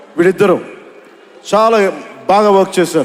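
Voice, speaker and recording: Ordinary pitch movement in a man's speech, set against noticeable background noise. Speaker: actor and politician. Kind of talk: speech at a film event.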